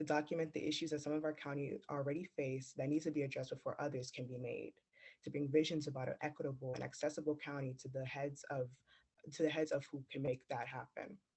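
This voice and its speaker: A man speaks at a very fast pace with a monotone, flat intonation. His fairly high voice is somewhat breathy. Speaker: youth climate ambassador. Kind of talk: prepared speech.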